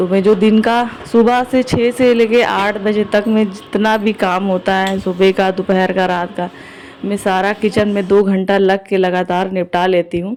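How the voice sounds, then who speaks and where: Noticeable background noise sits behind a woman whose medium-pitched voice keeps a monotone, flat intonation. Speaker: vlogger and shopkeeper. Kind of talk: vlog voiceover narration. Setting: home kitchen. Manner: casual conversational.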